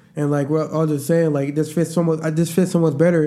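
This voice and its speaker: A man's fairly high voice, dark and mellow in tone, at a very fast pace. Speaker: podcast host. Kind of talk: casual chat.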